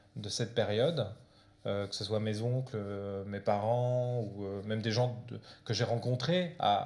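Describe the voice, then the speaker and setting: A man talks at a moderate pace in a Portuguese accent. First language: Portuguese (speaking French). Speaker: comic book author. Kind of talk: author talk with audience. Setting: library event with audience. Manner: hesitant, many fillers.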